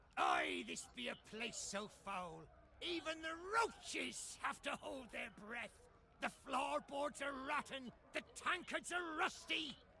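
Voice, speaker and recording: A man's gruff, put-on character voice, extremely high in pitch, at a fairly slow pace over clear background noise. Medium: video game. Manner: gruff, folksy pirate talk.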